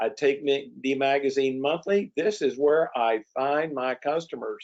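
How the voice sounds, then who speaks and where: This man has an ordinary speaking voice with a fairly high pitch and ordinary pitch variation. He talks at a fairly slow pace. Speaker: promotional products distributor and webinar host. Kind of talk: webinar presentation. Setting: online webinar.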